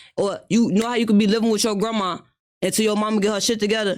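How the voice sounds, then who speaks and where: A man with a high pitch talks at a very fast pace. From Chicago, South Side. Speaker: interviewee, Chicago street figure. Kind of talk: casual interview. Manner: animated.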